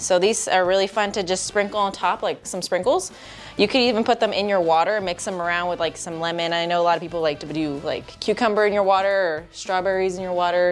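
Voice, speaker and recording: Faint music plays in the background as a woman talks at a very fast pace with fairly even intonation. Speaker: cooking show co-host. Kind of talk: tutorial. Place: studio.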